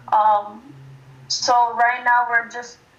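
A woman at a fairly high pitch and fairly slow pace, with fairly even intonation over noticeable background noise. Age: 20s. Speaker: college student and nonprofit founder. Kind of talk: casual interview chat.

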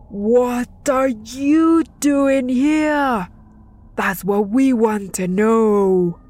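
A bellowing woman in a put-on character voice, high-pitched, with lively intonation and a very slow pace. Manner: roaring, demanding.

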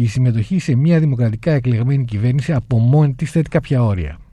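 Somewhat breathy and dark, mellow in tone, a man at medium pitch speaks with lively intonation. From Crete, Heraklion. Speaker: lawyer, human rights organisation president. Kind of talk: radio interview.

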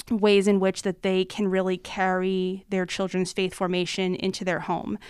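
Speaking with an American accent, a woman has a normal speaking voice at medium pitch. She goes at a fairly slow pace in a very clean recording with a silent background. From US Northeast, suburban Philadelphia, Pennsylvania. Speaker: religious education director. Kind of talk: podcast interview.

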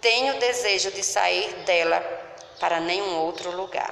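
A woman speaks at a medium pitch and a very slow pace. Noticeable background noise and audible room echo surround her. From Paraíba, Brazil (grew up in São Bento). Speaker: local presenter of her/his hometown. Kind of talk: scripted narration.

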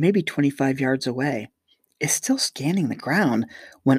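In quiet surroundings, a natural voice reads text aloud.

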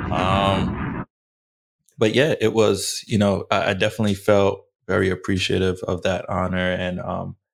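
Recorded very cleanly against a silent background, a man with an American accent speaks at a very deep, low pitch. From US, Haitian family. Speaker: podcast co-host. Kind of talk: casual chat.

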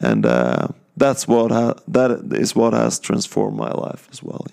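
A man with a Norwegian accent speaks at a very deep, low pitch and a fairly slow pace. His pitch swings very widely. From Norway, countryside outside Bergen. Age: 30s. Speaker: Bible college student. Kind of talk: testimony. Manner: halting, many fillers.

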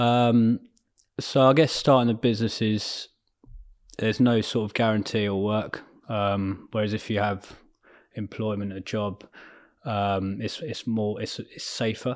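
A man with a southern English accent speaks at a fairly low pitch with fairly even intonation and long, frequent pauses. The recording is very clean, with a silent background. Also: fairly slow pace. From southern England (Surrey/Berkshire, near Ascot). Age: 30s. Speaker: entrepreneur. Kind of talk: interview. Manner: hesitant, many fillers.

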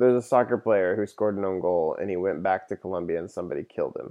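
A man speaks at a very fast pace. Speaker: podcast host. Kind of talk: casual chat.

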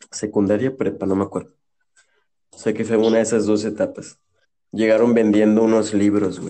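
A man speaks at a fairly low pitch in a flat monotone. His speech breaks up with long, frequent pauses. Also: moderate pace. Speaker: podcast co-host. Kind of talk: casual chat.

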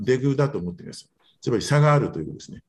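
A man's pitch swings very widely as he talks in a somewhat breathy voice. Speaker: physician presenting research papers. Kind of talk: journal club presentation. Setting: video call.

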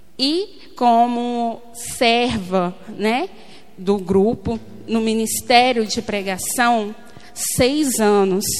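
Speaking very slowly, a woman with a fairly high pitch and ordinary pitch variation is heard through audible room echo and noticeable background noise. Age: 30s. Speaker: lay preacher. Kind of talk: sermon. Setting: church.

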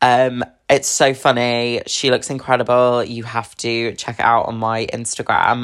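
In a southern English accent, a woman with a very deep, low pitch talks at a fairly slow pace in a monotone, flat intonation. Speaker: podcast host. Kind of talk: casual chat.

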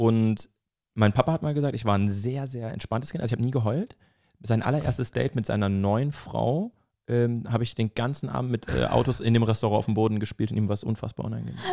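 On a very clean recording with a silent background, a man talks at a very fast pace, the sound dry and close with no echo. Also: medium pitch for a man, ordinary pitch variation. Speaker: comedian and social media creator, former radio host. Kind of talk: casual chat.

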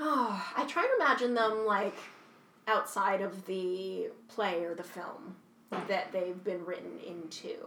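The delivery is animated, with ordinary pitch variation and a fairly slow pace. Room echo is audible, and background noise is noticeable. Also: woman, medium pitch for a woman. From Canada, Kingston, Ontario. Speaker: actor and writer. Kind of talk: casual interview chat. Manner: animated, laughing often.

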